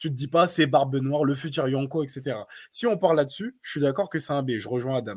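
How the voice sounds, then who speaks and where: Over a very clean recording with a silent background, a man with a fairly high, somewhat breathy voice talks at a fairly quick pace with ordinary pitch variation. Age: 20s. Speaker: podcast co-host. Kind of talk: casual chat.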